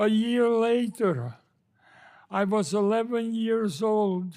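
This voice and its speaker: Very slow delivery with fairly even intonation, in a very clean recording over a silent background. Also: man. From Slovakia. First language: not English. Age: 80s+. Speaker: Holocaust survivor. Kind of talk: testimony. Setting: Senate committee hearing.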